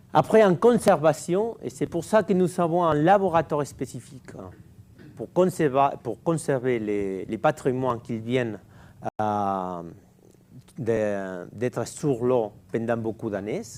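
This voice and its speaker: A man speaks at a very slow pace, with long, frequent pauses and very wide pitch swings. The recording is very clean, with a silent background. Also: medium pitch for a man. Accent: non-native. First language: Catalan or Spanish (speaking French). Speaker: underwater archaeologist. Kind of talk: lecture. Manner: slow, deliberate; halting, many hesitations.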